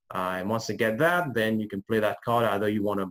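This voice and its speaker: A man with a non-native accent talks at a very fast pace in a fairly low pitch with ordinary variation. The sound is dry and close, with no echo. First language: not English. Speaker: agency lead generation service owner. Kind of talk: interview. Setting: video call. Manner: hesitant, many fillers.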